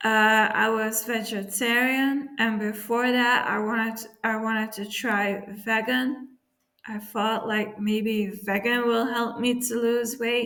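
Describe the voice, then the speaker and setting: A woman talks at a very slow pace, her fairly high pitch held in a monotone, flat intonation. Room echo is audible. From Belgium. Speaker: YouTuber. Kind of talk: casual vlog talk. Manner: halting, many fillers.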